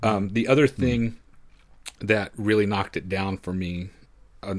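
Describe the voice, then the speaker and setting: A man's fairly low-pitched voice, an unremarkable speaking voice, with fairly even intonation at a moderate pace. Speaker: guest film podcaster. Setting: video call.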